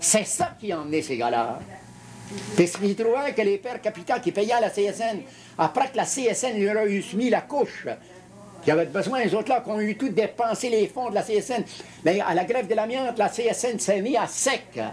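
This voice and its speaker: A man talks with a high pitch at a moderate pace. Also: ordinary pitch variation. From Quebec. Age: 70s. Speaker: retired union leader. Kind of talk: interview. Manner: halting, with many repetitions.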